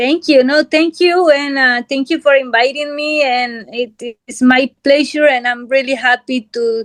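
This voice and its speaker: A woman with a Spanish accent, high in pitch, barely pausing, in a dry, close recording with no echo. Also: fairly even intonation, fairly slow pace. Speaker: guest sharing religious testimony. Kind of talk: testimony interview. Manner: halting.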